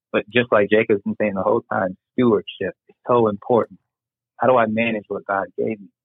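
A man with an American accent speaks at medium pitch. His delivery is fairly quick with monotone, flat intonation. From United States. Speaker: podcast guest. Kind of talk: casual chat.

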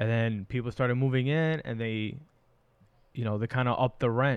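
This is a plain, everyday voice from a man with an American accent and medium pitch. The background is quiet. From New York City, Astoria, Queens. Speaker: podcast co-host. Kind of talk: casual chat.

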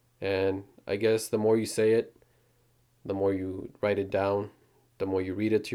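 A man's fairly low, dark and mellow voice, monotone and flat, fairly slow, on a very clean recording with a silent background. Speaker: podcast host. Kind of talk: casual chat.

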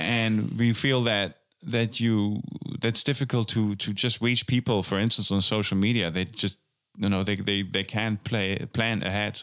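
A man's fairly low, fairly even voice with a German accent, at a fairly slow pace and very even loudness, on a very clean recording with a silent background. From western Germany. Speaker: jazz drummer and festival organizer. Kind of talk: casual interview. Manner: hesitant, many fillers and repetitions.

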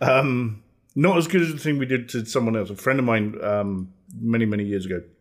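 A man with a British accent and a medium pitch, at a fairly quick pace with ordinary pitch variation. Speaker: podcast host. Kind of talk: casual chat.

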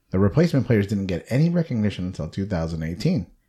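The voice has a dark, mellow tone and is somewhat breathy, swinging very widely in pitch at a fairly quick pace on a very clean recording with a silent background. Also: man. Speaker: podcast host. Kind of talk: casual chat, movie review podcast.

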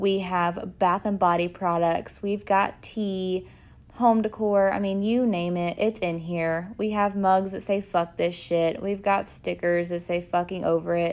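A woman speaks with a Texan accent at a medium pitch. Her pace is fairly slow and her intonation monotone and flat. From US South, north Texas. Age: 20s. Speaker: podcast host and small business owner. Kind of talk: casual monologue.

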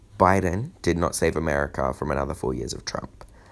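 A man with an Australian accent, very deep and low in pitch with vocal fry and ordinary pitch variation, on a very clean recording with a silent background. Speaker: political commentator. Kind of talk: scripted monologue.

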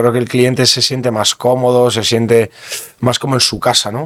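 Noticeable background noise under a man at medium pitch. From Basque Country, Bergara (Gipuzkoa). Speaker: sommelier. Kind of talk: interview. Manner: halting.

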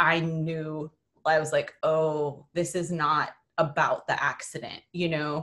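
A woman with an American accent, an ordinary speaking voice, a fairly low pitch and a fairly slow pace. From US Midwest (South Dakota). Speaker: communication studies professor. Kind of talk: interview conversation.

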